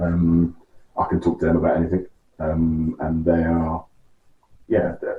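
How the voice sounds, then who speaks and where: With a London accent, the speaker moves at a fairly slow pace in monotone, flat intonation. Long, frequent pauses break up the delivery. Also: man, very deep, low pitch for a man. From West London, England. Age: 40s. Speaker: interview guest. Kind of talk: interview. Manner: halting.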